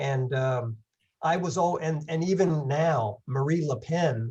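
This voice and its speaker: This man talks in a fairly high voice that is somewhat breathy, with ordinary pitch variation. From England. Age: 70s. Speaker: long-distance hiker giving a talk. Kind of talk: presentation with Q&A.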